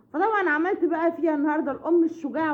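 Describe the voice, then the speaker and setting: A woman talks at a very fast pace with lively intonation. Noticeable background noise can be heard. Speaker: family vlogger. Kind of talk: casual vlog chat. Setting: at home. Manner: loud; halting.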